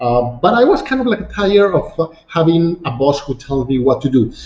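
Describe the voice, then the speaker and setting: Lively in intonation, a man with a Mexican accent speaks at a fairly quick pace in a fairly high voice. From Mexico City. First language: Spanish. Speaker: real estate agent. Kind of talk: online masterclass presentation. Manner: halting, many fillers.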